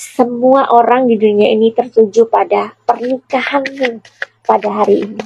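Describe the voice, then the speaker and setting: Her pitch is fairly high and her intonation monotone and flat. The woman talks at a moderate pace. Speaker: tarot reader and celebrity commentator. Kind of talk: casual chat. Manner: halting.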